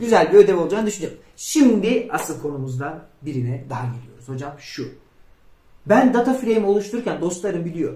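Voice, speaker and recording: Over audible room echo, a man with a high pitch and a dark, mellow tone talks at a fairly quick pace, his pitch swinging very widely and his loudness in big swings. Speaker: programming instructor. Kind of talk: tutorial.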